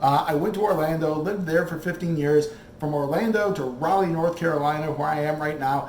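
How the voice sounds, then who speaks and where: An animated man speaks with an American accent and ordinary pitch variation. Noticeable background noise and audible room echo fill the recording. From Michigan, Flint. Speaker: cooking show host. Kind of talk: casual monologue.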